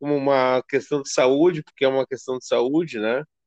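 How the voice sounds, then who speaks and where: Heard in a dry, close sound with no echo, a man with a normal speaking voice and fairly high pitch talks at a moderate pace. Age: 40s. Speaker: podcast host. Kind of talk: interview.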